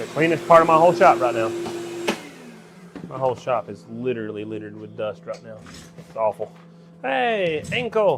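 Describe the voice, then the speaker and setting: An American man with a medium pitch speaks at a moderate pace in a relaxed tone, taking long, frequent pauses. His pitch swings very widely and his loudness rises and falls sharply, over noticeable background noise. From Georgia, US South. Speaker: livestreamer making antenna parts in workshop. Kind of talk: casual livestream chat while working. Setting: workshop, live stream. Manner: relaxed, folksy.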